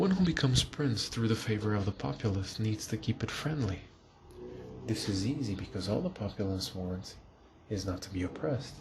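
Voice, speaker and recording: Speaking at a fairly quick pace, a man uses lively intonation at a fairly low pitch. Noticeable background noise can be heard. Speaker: ASMR reader / channel host. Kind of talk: soft-spoken ASMR book reading for sleep.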